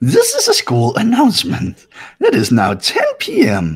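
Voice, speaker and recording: A man puts on a character voice with a cheerful, playful tone. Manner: mock-cheerful, playful.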